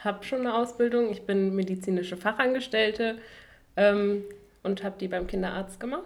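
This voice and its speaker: A woman speaks in a normal speaking voice. Her medium pitch follows fairly even intonation. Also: moderate pace. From western Germany, Duisburg (Ruhr area). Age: 20s. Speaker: medical student, podcast co-host. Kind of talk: casual chat.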